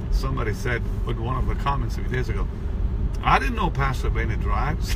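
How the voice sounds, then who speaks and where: A man talks at a fairly quick pace, his voice dry and echo-free over noticeable background noise. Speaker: preacher. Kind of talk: casual address to followers with prayer. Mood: warm, upbeat, prayerful. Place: car. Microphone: phone near.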